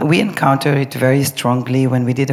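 Against noticeable background noise, a woman speaks in a very deep, low pitch with fairly even intonation. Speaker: choreographer. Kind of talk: live panel discussion.

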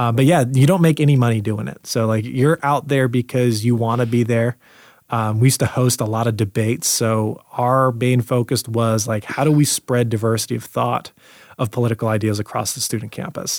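Fairly quick and fairly even in intonation, a man talks at a medium pitch in an ordinary speaking voice. The sound is dry and close with no echo, and the recording is very clean with a silent background. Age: 20s. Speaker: real estate broker and entrepreneur. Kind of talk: casual interview chat.

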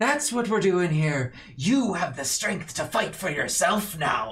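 A man puts on a character voice, pitched high. He delivers it at a fairly slow pace. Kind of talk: speech to followers. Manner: grandiose, rousing, self-righteous.

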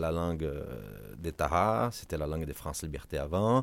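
A man's very deep, low voice in a Portuguese accent, at a fairly slow pace with ordinary pitch variation. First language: Portuguese (speaking French). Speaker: ocean foundation advocacy director. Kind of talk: interview. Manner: halting with repetitions.

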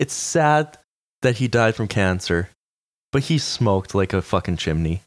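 A man with a Canadian accent, an unremarkable speaking voice, fairly low pitch and lively intonation, on a very clean recording with a silent background. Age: 20s. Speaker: podcast co-host. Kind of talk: casual chat.

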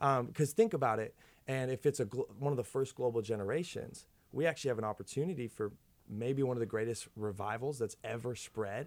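A man speaks in a plain, everyday voice with an American accent. His medium pitch shows ordinary variation at a fairly quick pace. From Minnesota, US. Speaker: youth pastor. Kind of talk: casual chat.

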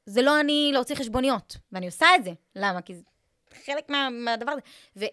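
A high-pitched woman at a fairly quick pace, her pitch swinging very widely, in a dry, close sound with no echo. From Israel, Eilat. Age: 20s. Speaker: social media content coach. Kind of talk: casual interview.

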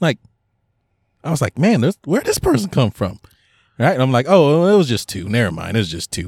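Vocal fry marks this man's medium-pitched voice as he talks at a fairly quick pace. Long, frequent pauses break up his speech, and the sound is dry and close with no echo. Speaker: podcast co-host. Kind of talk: casual chat.

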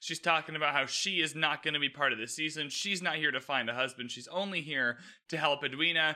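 Delivered at a very fast pace with a Canadian accent, the voice has a bright, sharp tone and fairly even intonation. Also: man, fairly high pitch for a man. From Canada. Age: 20s. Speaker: podcast host. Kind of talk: solo TV recap commentary. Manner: casual, conversational.

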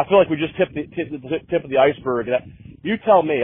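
At a fairly quick pace, a man with a normal speaking voice talks with lively intonation. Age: 40s. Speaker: podcast host. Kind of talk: casual chat. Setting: phone call.

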